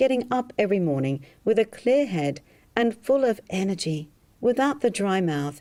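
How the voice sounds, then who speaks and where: This woman has an Australian accent and a dark, mellow tone. She speaks at a fairly slow pace, with very wide pitch swings. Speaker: hypnotherapist selling a drinking program. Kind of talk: sales pitch.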